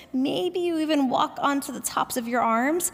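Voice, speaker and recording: In a calm tone, a woman speaks with lively intonation. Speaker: yoga teacher. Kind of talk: guided yoga class instruction. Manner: calm, instructive.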